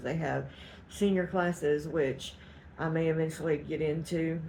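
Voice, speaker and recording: A woman's very deep, low-pitched voice in a Southeast Texas accent at a moderate pace. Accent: Southeast Texas Southern US. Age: 50s. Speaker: cooking and weight-loss vlogger. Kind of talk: casual vlog update.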